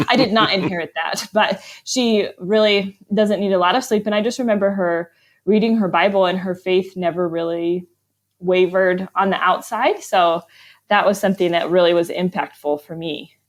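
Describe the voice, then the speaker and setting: A plain, everyday voice from a woman with an American accent, medium pitch, moderate pace and fairly even intonation. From US, Arizona and Vermont. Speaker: author. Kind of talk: interview.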